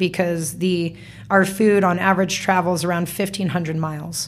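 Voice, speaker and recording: A woman with an American accent speaks at a moderate pace and medium pitch. Hers is a plain, everyday voice. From US West, Las Vegas. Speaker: entrepreneur. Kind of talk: casual interview. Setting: studio.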